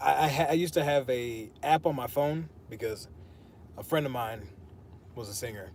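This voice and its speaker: A man speaks at medium pitch with lively intonation and a somewhat breathy voice. He leaves long, frequent pauses. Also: moderate pace. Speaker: fitness streamer. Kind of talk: casual chat during workout livestream. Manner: quiet when speaking naturally.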